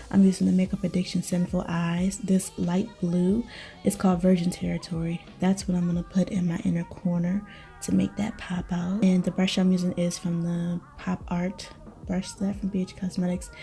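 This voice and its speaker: A woman with a fairly low pitch talks in a flat monotone while music plays in the background. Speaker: beauty YouTuber. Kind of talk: makeup tutorial. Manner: fast; casual, chatty.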